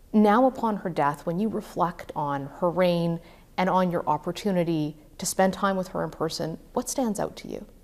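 Here is a woman with a Canadian accent and an ordinary speaking voice, fairly low in pitch, with ordinary pitch variation at a moderate pace. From Canada. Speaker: TV political news host. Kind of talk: news interview. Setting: studio.

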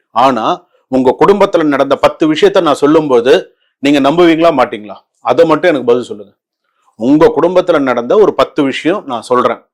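A man speaks in an unremarkable speaking voice, fairly high in pitch. His intonation is lively. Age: 50s. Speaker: astrologer and spiritual advisor. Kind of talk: devotional talk to viewers.

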